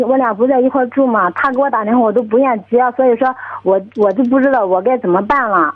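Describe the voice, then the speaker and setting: This woman has a high-pitched voice with ordinary pitch variation. She moves at a fairly quick pace. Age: 20s. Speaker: caller. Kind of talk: phone-in personal problem. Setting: phone call. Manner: halting. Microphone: crackly phone line.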